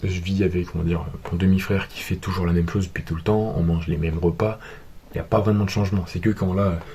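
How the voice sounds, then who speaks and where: Through noticeable background noise, a man with a very deep, low pitch talks at a very fast pace in a monotone, flat intonation. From France. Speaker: vlogger. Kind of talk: vlog monologue.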